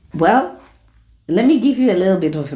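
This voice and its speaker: Room echo is audible around the speech. Its intonation sounds lively. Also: woman. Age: 60s. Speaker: retiree lifestyle vlogger. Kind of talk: casual vlog talk to camera.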